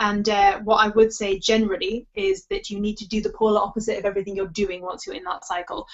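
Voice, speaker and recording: With a Geordie accent, a woman talks at a fairly quick pace. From northern England, Newcastle area. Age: 30s. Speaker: sobriety coach. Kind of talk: webinar Q&A advice. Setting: online webinar. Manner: fast.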